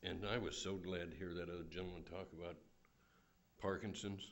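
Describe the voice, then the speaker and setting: A man with a very deep, low pitch, monotone and flat, at a fairly quick pace, with audible room echo. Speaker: public commenter at county meeting. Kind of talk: public comment speech. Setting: public meeting hall. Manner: soft-spoken.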